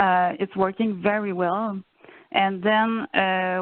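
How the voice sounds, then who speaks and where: A woman speaks with a Quebec accent. Her pitch sits in the medium range. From Quebec, Saguenay–Lac-Saint-Jean. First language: French. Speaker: family and youth program coordinator. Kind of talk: presentation in video meeting. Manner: halting, many fillers.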